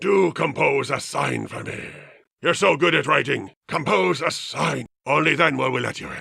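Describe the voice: Plain reading aloud against a quiet backdrop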